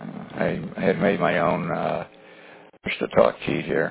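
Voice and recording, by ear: A man's voice with a husky, rough edge and vocal fry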